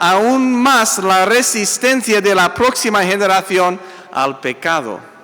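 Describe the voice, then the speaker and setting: Against noticeable background noise and audible room echo, a man speaks very slowly in a raised, projected voice with ordinary pitch variation. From US, Italian-American family. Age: 60s. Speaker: pastor. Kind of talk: sermon. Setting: church.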